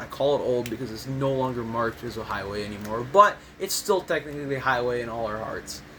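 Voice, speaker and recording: Noticeable background noise fills the recording. Over it, a man talks with an American accent. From US Midwest, Michigan. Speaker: gaming YouTuber. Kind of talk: tutorial. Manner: casual, rambling with fillers.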